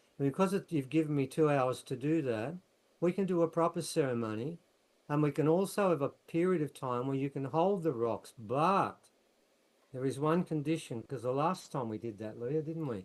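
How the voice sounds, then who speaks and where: With an Australian accent, a man with fairly high pitch speaks at a moderate pace with ordinary pitch variation. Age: 70s. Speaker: researcher and author. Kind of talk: casual chat. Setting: video call.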